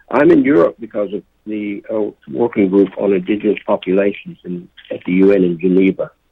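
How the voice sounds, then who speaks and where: A man's plain, everyday voice with an American accent, fairly low in pitch, with ordinary pitch variation and a fairly quick pace. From Oklahoma, US. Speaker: poet and native rights activist. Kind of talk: interview. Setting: phone call.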